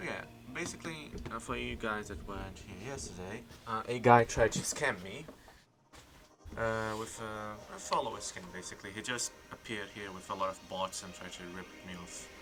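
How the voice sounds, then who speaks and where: Mumbling in a non-native accent, a man talks with big swings in loudness and ordinary pitch variation, and the room echo is audible. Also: fairly low pitch for a man, moderate pace. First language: not English. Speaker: streamer. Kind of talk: live stream gameplay chat. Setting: live stream.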